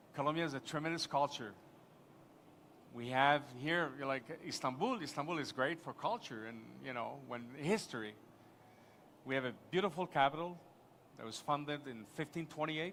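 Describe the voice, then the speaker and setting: A man with a Quebec accent, fairly high pitch, ordinary pitch variation, a moderate pace and long, frequent pauses. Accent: French-Canadian accent in English. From Quebec, Montreal. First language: French. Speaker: tourism official, conference panelist. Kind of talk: conference panel discussion. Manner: halting, many false starts.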